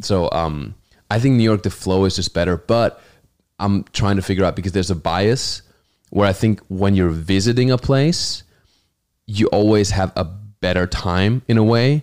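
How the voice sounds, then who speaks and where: With a German accent, a man talks at a moderate pace and fairly low pitch, keeping his loudness very even. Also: ordinary pitch variation, very clean recording, silent background. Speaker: comedian. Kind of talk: casual chat. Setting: studio.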